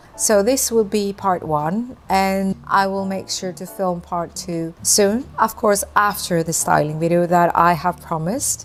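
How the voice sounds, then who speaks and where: At a fairly slow pace, the speaker uses a slight British accent with ordinary pitch variation. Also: woman. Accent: slight British-sounding accent in English. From Greece. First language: Greek. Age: 50s. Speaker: vintage lifestyle vlogger. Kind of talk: casual Q&A monologue to camera.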